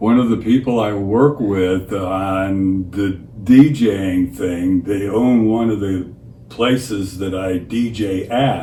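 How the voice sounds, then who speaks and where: A man's fairly low voice at a very slow pace with ordinary pitch variation, audible room echo and noticeable background noise. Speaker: DJ. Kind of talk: casual chat. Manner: halting.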